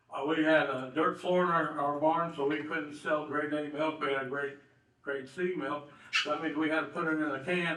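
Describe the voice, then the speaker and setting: In a monotone, flat delivery, a man with an American accent and a fairly high voice talks at a moderate pace, with audible room echo and noticeable background noise. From southern Indiana. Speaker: local businessman and honoree. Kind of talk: banquet speech. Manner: halting, many fillers.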